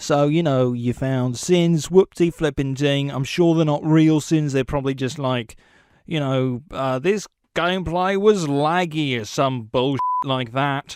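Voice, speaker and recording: Over a quiet background, a man with a British accent speaks slowly at a fairly high pitch with ordinary pitch variation. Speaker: video game commentary narrator. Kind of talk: joking outtakes; comedic scripted narration. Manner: playful.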